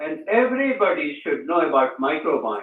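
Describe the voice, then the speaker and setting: A man's high-pitched voice moves through very wide pitch swings. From India. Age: 70s. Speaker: author and engineer. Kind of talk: interview.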